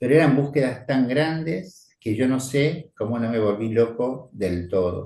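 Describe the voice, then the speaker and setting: Dark, mellow tone from a man at medium pitch, ordinary pitch variation, fairly slow pace. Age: 70s. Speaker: priest. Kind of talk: spiritual teaching talk. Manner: conversational.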